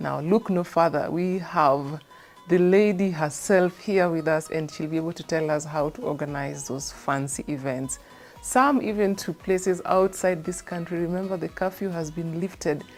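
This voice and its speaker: Over music in the background, a woman with a fairly low pitch talks at a moderate pace in an upbeat tone with ordinary pitch variation. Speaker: TV presenter. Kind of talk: TV show presenting to camera.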